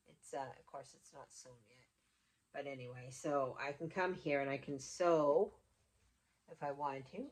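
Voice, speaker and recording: This woman's pitch is very deep and low, with ordinary variation. She talks at a moderate pace, with long, frequent pauses and big swings in loudness. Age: 60s. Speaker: homesteading vlogger. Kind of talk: casual vlog talk. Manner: halting, with fillers and restarts.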